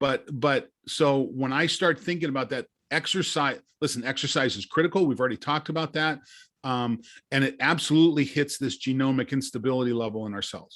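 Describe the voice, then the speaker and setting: A man with a plain, everyday voice speaks at a fairly quick pace and fairly high pitch, with ordinary pitch variation against a quiet background. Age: 60s. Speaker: longevity science company director. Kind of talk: podcast interview.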